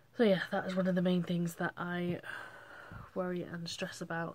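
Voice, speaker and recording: At a moderate pace, a woman with an English accent speaks in a fairly low, monotone, flat intonation. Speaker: vlogger. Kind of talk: casual chat. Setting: bedroom. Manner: halting.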